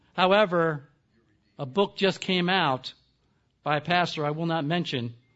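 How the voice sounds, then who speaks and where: The man's voice sits at a fairly high pitch with ordinary pitch variation. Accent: American. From US East Coast. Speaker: seminary professor. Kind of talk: lecture. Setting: conference stage with audience. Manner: soft-spoken.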